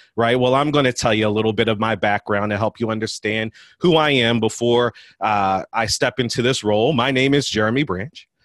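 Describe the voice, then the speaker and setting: A man speaks in an American accent at medium pitch, in a plain, everyday voice. His intonation is fairly even and his loudness very even. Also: fairly quick pace. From US, West Philadelphia. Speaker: college admissions administrator and podcast host. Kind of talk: speech to an audience.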